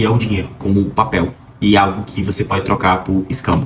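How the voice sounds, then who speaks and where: This voice is somewhat breathy. The pace is fairly quick. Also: man. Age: 20s. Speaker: vlogger, pre-med student. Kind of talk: casual vlog monologue. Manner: hesitant, many fillers.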